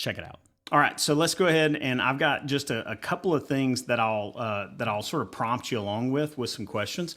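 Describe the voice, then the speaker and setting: A man of medium pitch talks at a fairly quick pace with hardly any pauses, using lively intonation and a bright, sharp tone. The recording is very clean with a silent background. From Alabama. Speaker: podcast host. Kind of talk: interview.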